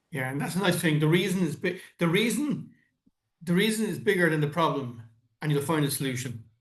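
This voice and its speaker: Audible room echo surrounds a man speaking with an Irish accent at a fairly quick pace. His pitch is fairly high and his intonation lively. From Ireland. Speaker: podcast host. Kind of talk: casual interview chat. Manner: halting, repeats words.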